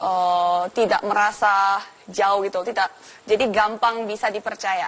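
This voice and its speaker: A woman speaks in a Korean accent at a fairly slow pace. Her medium pitch stays in a monotone, flat intonation. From South Korea, moved to Bali as teen. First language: Korean (speaking Indonesian). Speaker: actress and YouTuber. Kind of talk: TV talk show interview.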